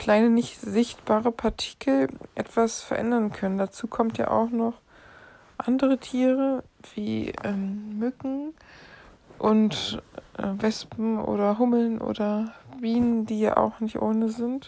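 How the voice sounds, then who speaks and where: Speaking at a very slow pace with long, frequent pauses, a woman uses a fairly high pitch and fairly even intonation. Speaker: podcast host. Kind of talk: solo podcast monologue. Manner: halting.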